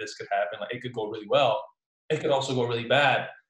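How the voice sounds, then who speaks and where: The voice is somewhat breathy. The words come at a very fast pace. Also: man. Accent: New Jersey. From Newark, New Jersey; Puerto Rican family. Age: young. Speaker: entrepreneur, salesman. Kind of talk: casual interview chat.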